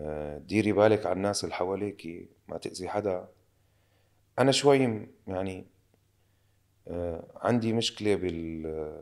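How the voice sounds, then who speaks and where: A man's very deep, low voice at a fairly slow pace, with long, frequent pauses and ordinary pitch variation, on a very clean recording with a silent background. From Syria. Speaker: actor. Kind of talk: casual interview chat.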